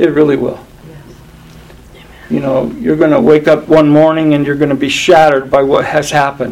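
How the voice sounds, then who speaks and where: Fairly high-pitched for a man, this voice moves at a moderate pace with fairly even intonation, big swings in loudness, and noticeable background noise. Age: 70s. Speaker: pastor. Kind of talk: sermon. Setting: church.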